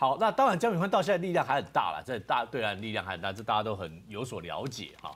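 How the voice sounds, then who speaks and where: A man at a very fast pace with hardly any pauses, very wide pitch swings and big swings in loudness. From Taiwan. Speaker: political commentator. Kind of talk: talk show debate; political commentary. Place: studio.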